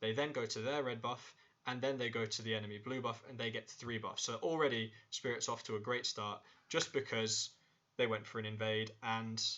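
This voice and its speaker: Medium pitch and ordinary pitch variation in a man's voice. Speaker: esports analyst. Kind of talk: tutorial. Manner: fast.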